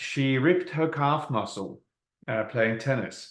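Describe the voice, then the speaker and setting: The speaker is a man with a Norwegian accent. He talks at a moderate pace with fairly even intonation. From Norway. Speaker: network marketing presenter. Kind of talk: sales presentation.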